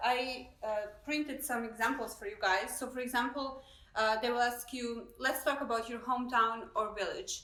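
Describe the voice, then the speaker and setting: Audible room echo surrounds a speaker with a non-native accent who talks at a moderate pace with ordinary pitch variation. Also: woman, high pitch for a woman. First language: not English. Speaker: immigration consultant. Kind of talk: live stream discussion. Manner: hesitant, many fillers.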